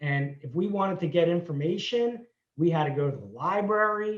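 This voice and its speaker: Here a man speaks at a moderate pace with a high-pitched voice. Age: 60s. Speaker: entrepreneur. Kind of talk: interview.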